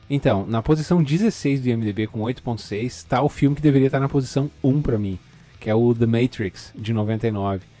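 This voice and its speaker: A man's dark, mellow voice at medium pitch, with ordinary pitch variation and a fairly slow pace. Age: 30s. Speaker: podcast host. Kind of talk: casual chat. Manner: halting, with fillers and repetitions.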